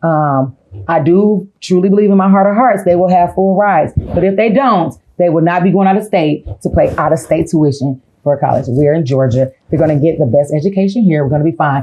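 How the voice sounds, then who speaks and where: A woman with fairly low pitch talks at a fairly quick pace in an animated tone with lively intonation. Her loudness stays very even throughout. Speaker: podcast host. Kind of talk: casual chat.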